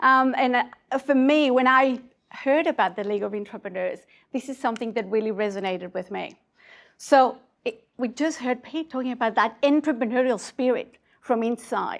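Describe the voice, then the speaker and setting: Speaking at a fairly quick pace, a woman with a slight Mexican accent uses a high pitch and ordinary pitch variation. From Mexico, Mexico City. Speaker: conference speaker, innovation community leader. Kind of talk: conference talk. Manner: hesitant fillers.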